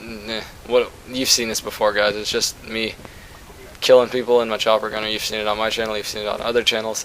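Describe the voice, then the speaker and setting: Talking at a fairly quick pace, a man with a medium pitch keeps a flat, monotone delivery against noticeable background noise. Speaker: gaming YouTuber. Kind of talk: gameplay commentary. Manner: fast; casual, rambling with fillers.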